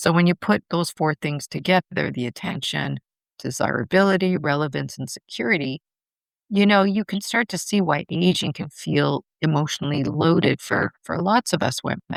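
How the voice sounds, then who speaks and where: In a very clean recording with a silent background, a woman speaks at a very deep, low pitch with vocal fry and lively intonation, the sound dry and close with no echo. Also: moderate pace. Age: 60s. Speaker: podcast host. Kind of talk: solo podcast monologue. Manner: conversational.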